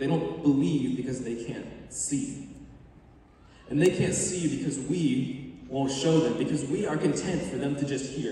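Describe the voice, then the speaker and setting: The voice moves at a moderate pace, with light background noise and strong room echo. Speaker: spoken word performer. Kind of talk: spoken word poetry, a faith-based performance. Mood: earnest, faith-driven. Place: stage. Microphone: camera far.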